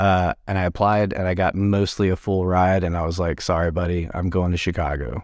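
A man with an American accent speaks in a very deep, low voice at a fairly quick pace, hardly pausing at all. His intonation stays fairly even, and the recording is very clean with a silent background. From Texas (Garland, Dallas area). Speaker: bar owner and former band singer. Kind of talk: casual interview. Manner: halting, many fillers.

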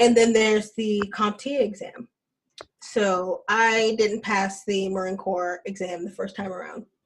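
A woman with an American accent speaks in a normal speaking voice at a medium pitch and a fairly slow pace. Her intonation is fairly even, though her loudness swings widely. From US South, Alabama. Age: 20s. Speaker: Marine Corps veteran. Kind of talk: casual chat.

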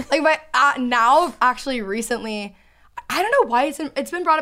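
A woman with an American accent has a bright, sharp tone. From Texas. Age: 20s. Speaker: YouTuber and podcaster. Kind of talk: casual chat. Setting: studio. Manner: talkative.

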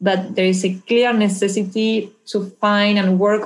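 A woman speaks with a Spanish accent and a fairly even intonation. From Argentina. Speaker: anti-corruption policy specialist. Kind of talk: interview.

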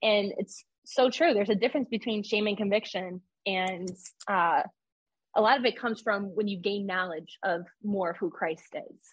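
A woman with an American accent speaks at a medium pitch. Her voice is somewhat breathy. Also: ordinary pitch variation, moderate pace. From New York. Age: 20s. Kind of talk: testimony.

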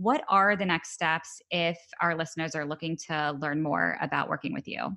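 Against a quiet background, a woman with a fairly low pitch, a bright, sharp tone and vocal fry speaks at a moderate pace with fairly even intonation. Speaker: podcast co-host. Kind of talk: interview, intro narration.

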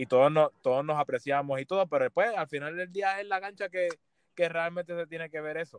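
The speech moves at a fairly quick pace with ordinary pitch variation, recorded with a dry, close sound and no echo. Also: man, high pitch for a man. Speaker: professional basketball player. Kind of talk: casual interview.

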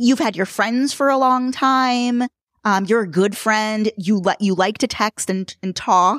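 A woman with an American accent and a normal speaking voice talks at a fairly slow pace, with a fairly high pitch and ordinary pitch variation. The sound is dry and close, with no echo. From New York City. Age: 40s. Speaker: podcaster in design strategy. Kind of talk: casual chat.

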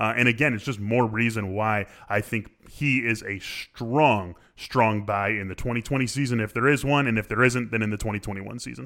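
A man speaks at a fairly quick pace with an American accent, his pitch medium. His intonation stays fairly even in a normal speaking voice. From Chicago, US Midwest. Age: 30s. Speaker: fantasy baseball analyst. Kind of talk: casual chat.

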